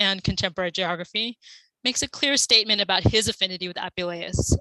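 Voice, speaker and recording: A woman speaks very fast in a bright, sharp tone with ordinary pitch variation. The sound is dry and close, with no echo. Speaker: conference speaker, classics scholar. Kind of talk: academic conference talk.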